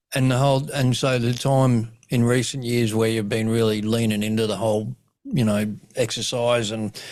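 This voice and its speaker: A man with an Australian accent, medium pitch, and monotone, flat intonation at a moderate pace. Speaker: comedian and suicidologist, podcast host. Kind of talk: podcast interview host. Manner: casual.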